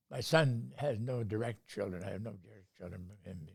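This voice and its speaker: Speaking at a moderate pace with a Canadian accent, a man uses lively intonation in a fairly low, somewhat breathy voice. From North Bay, Ontario, Canada. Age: 90s. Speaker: retired university professor. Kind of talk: interview answer.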